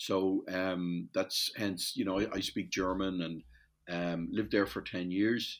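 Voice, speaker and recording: In a very clean recording with a silent background, a man with an Irish accent talks fairly slowly at a very deep, low pitch with monotone, flat intonation. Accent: Irish, compared to Newfoundland. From Ireland, Dublin. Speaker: metals industry supplier. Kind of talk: podcast interview. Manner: hesitant, self-correcting.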